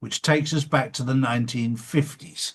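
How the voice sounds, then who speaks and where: In an East Anglian accent, a man talks with a somewhat breathy sound. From England (Suffolk). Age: 60s. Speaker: show host. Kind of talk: interview.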